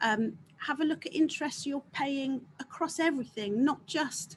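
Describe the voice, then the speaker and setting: A woman with an English accent speaks at a high pitch and a moderate pace. Her pitch swings very widely. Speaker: accountant, guest speaker. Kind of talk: business webinar talk. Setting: video call.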